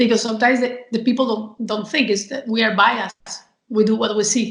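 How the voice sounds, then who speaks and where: A woman speaks at a fairly quick pace in a Spanish accent. Her voice is fairly high-pitched and somewhat breathy. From Spain. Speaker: communication and marketing professional. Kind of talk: interview. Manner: energetic.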